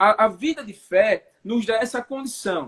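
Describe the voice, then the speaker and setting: Fairly slow speech from a man, dry and close-miked with no echo. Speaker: preacher. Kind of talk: religious teaching in a live chat. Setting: online live stream.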